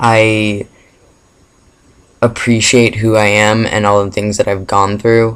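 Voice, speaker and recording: Slow and flat, a man speaks at a very slow pace and fairly low pitch in a monotone with long, frequent pauses. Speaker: vlogger. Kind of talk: casual Q&A vlog. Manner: hesitant, many fillers.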